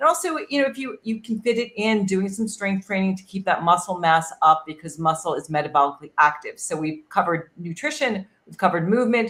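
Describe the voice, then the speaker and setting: Using a normal speaking voice, a woman talks at a fairly quick pace and medium pitch with lively intonation. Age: 60s. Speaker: wellness expert. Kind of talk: panel discussion.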